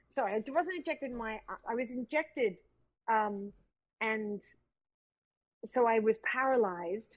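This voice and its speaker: Lively intonation in an Australian accent, at a moderate pace with long, frequent pauses. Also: woman, fairly high pitch for a woman. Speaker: actress. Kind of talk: casual chat. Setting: video call.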